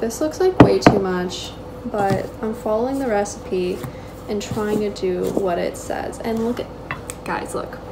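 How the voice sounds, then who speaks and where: A woman talks at a very slow pace with ordinary pitch variation, and background noise is noticeable. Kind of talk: casual vlog chat. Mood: light-hearted, self-joking. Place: kitchen. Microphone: phone near.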